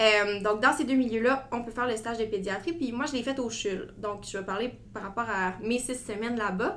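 A woman speaks with ordinary pitch variation. Room echo is audible. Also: fairly high pitch for a woman, moderate pace, hardly any pauses. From Quebec (Gatineau). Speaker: medical student. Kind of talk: interview.

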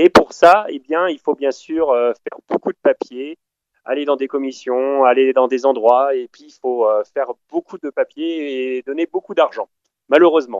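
This man talks at a fairly slow pace in a fairly high pitch with ordinary pitch variation. His loudness swings widely. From France. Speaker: traveller. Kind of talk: casual chat. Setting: phone call.

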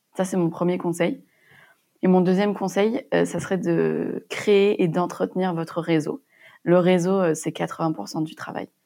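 On a very clean recording with a silent background, a woman speaks at a fairly slow pace, her voice fairly low with ordinary pitch variation and a dark, mellow tone. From Montpellier, southern France. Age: 20s. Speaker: young entrepreneur, pharmacist. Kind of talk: interview testimony.

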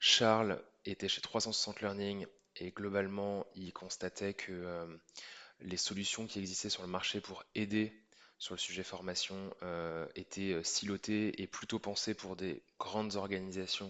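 Speaking at a very slow pace, a man delivers his words with monotone, flat intonation and long, frequent pauses. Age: 30s. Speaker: startup co-founder. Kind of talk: interview.

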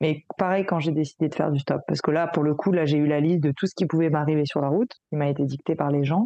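A woman speaks at a very fast pace. Her voice is very deep and low, with fairly even intonation. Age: young. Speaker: holistic coach and therapist. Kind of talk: interview. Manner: halting, repeats words.

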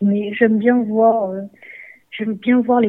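At a moderate pace, a woman with a fairly high voice speaks in a monotone, flat intonation. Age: 30s. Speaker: footballer. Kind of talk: interview. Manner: halting.

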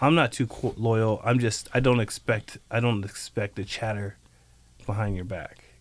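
A man's medium-pitched voice, a plain, everyday voice, at a moderate pace in a very clean recording with a silent background. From US South (North Carolina), childhood in Japan. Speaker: chef and restaurant owner. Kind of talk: casual interview.

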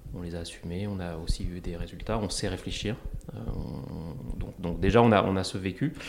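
A man speaks quietly at a moderate pace, with a very deep, low pitch. His intonation is lively. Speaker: entrepreneur and investor. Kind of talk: interview testimony. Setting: small meeting room. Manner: calm, quiet; halting.

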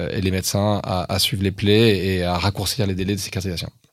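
This man talks at a moderate pace in a fairly low pitch. He has an ordinary speaking voice. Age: 40s. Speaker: tech company founder and CEO. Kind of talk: interview.

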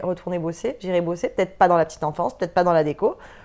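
A woman talks at a very fast pace. Her pitch is fairly low, with a dark, mellow tone. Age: 30s. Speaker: entrepreneur, former nursery director. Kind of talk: interview. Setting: studio.

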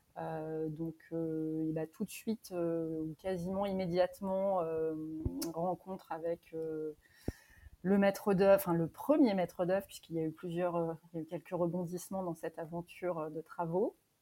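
In a dark, mellow tone, a woman speaks at a fairly slow pace with fairly low pitch and monotone, flat intonation. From Normandy, France. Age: 30s. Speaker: guesthouse owner. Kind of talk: interview. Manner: hesitant.

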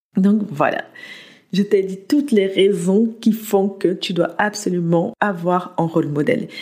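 A woman's somewhat breathy voice at a medium pitch, with ordinary pitch variation and a fairly slow pace. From France, arrived from the US at age 8. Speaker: podcast host and motivation coach. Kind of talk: motivational monologue.

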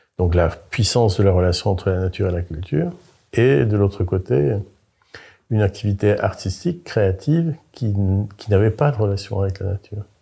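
A man speaks at a moderate pace and fairly low pitch, somewhat breathy, his tone dark and mellow with ordinary pitch variation. Long, frequent pauses break up the speech in a very clean recording with a silent background. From France, Brittany. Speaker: architect. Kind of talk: interview. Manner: halting, with frequent repetitions.

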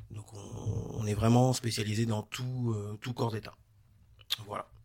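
Somewhat breathy and monotone, a man talks at a moderate pace with a fairly low pitch and flat intonation. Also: long, frequent pauses. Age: 30s. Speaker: renovation business owner. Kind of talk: interview. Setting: studio.

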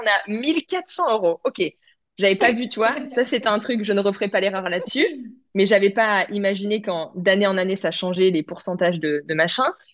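Against a quiet background, a woman in a normal speaking voice talks at a moderate pace, her medium pitch showing ordinary pitch variation. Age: 30s. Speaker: image consultant and clothing brand founder. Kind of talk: casual interview chat.

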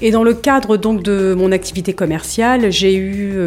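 The voice belongs to a woman. Ordinary variation shows in her pitch. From northern France (Hauts-de-France). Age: 40s. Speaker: training consultant and founder. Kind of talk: interview. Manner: hesitant, many fillers.

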